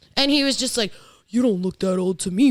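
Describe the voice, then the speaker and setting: With a New York accent, a woman talks in an animated tone with very wide pitch swings. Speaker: podcast co-host. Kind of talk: casual chat.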